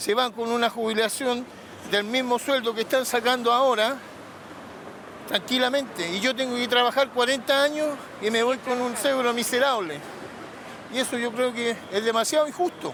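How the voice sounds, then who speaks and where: A man with an extremely high pitch speaks at a moderate pace, with long, frequent pauses. There is noticeable background noise. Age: 60s. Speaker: protester. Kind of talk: testimony.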